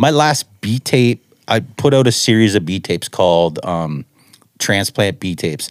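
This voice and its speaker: With a Canadian accent and lively intonation, a normal speaking voice comes through a very clean recording with a silent background and a dry, close sound with no echo. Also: man. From Ontario, Canada. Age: 40s. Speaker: music producer. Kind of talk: casual chat.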